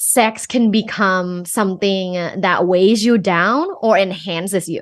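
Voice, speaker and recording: A woman with a Thai accent against a quiet background. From Thailand. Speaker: sex coach and professor. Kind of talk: podcast interview.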